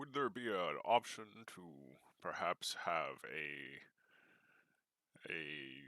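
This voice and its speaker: At a very slow pace, the speaker performs a put-on character voice broken by long, frequent pauses. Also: man, very deep, low pitch for a man. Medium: actual play. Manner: grandiose, formal, preacherly.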